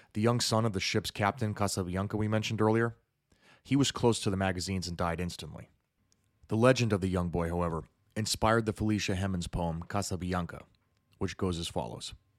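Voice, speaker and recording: A man speaks at a very fast pace with a very deep, low pitch and a solemn, dramatic tone. His pitch variation is ordinary, and the recording is very clean with a silent background. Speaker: podcast host. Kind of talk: history documentary narration. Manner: solemn, measured storytelling, dramatic and vivid.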